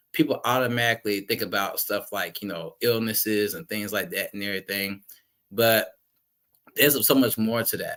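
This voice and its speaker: A man talks at a medium pitch and moderate pace with an American accent. His tone is bright and sharp. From US South (Jacksonville, Florida). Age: 30s. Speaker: guest speaker on mental health. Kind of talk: personal testimony. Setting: podcast.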